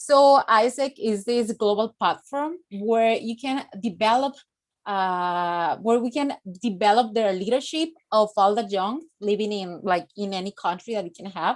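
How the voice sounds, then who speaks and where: In a Spanish accent, a woman speaks at a fairly slow pace, her fairly high pitch showing ordinary variation. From Mexico. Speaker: youth organization director. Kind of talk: conference presentation. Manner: halting, many fillers.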